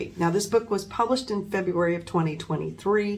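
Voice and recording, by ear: Ordinary rises and falls in pitch, reading aloud in a natural voice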